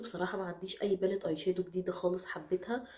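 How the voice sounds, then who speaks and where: A woman with an Egyptian accent at a fairly quick pace, amid noticeable background noise. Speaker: beauty vlogger. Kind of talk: product review.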